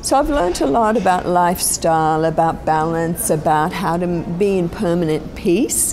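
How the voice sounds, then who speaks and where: Moderate pace and hardly any pauses from a woman, fairly low in pitch with ordinary pitch variation, plus audible room echo and noticeable background noise. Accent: Australian. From Australia. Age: 60s. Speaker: spiritual teacher. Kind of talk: interview. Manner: reflective, with many fillers.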